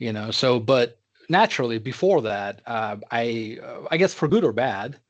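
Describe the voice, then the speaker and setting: Against a quiet background, a man with a Russian accent talks at a medium pitch and a moderate pace. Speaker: tech executive. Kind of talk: interview. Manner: halting, many fillers.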